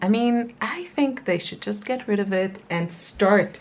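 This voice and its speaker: Fairly slow speech in a non-native accent with ordinary pitch variation, over noticeable background noise. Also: woman. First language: not English. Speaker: crochet youtuber. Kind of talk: casual show-and-tell tutorial. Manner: casual, with many fillers.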